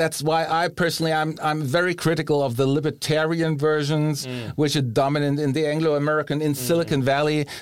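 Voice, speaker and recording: Delivered at a very fast pace with hardly any pauses, the speech has monotone, flat intonation and a German accent. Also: man, fairly high pitch for a man. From Germany. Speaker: philosophy professor. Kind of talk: interview. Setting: studio.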